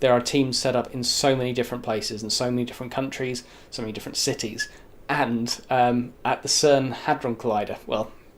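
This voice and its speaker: A man is speaking at a very fast pace. His pitch sits at a medium level. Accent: British. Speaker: YouTube show host. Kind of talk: casual monologue to camera. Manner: animated.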